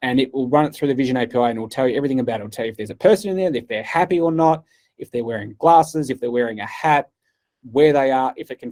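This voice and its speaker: A man talks at a very fast pace with an Australian accent. His medium pitch has ordinary variation and a dark, mellow tone. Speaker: cloud partner engineer giving keynote. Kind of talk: keynote talk.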